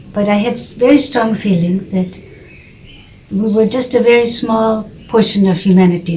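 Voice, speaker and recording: A woman with an American accent at a moderate pace, fairly even in intonation, with audible room echo and noticeable background noise. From United States. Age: 80s+. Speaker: author of religion textbooks. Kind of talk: personal testimony.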